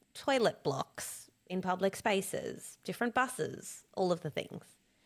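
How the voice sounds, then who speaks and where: In an Australian accent, a woman talks. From Australia, born in Cape Town. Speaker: business coach and social media entrepreneur. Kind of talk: interview. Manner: animated.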